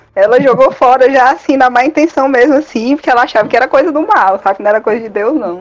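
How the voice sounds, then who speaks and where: A woman with a high pitch, very fast and lively in intonation, over noticeable background noise. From Fortaleza, Ceará, Brazil. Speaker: collector, fan community member. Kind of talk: casual podcast conversation.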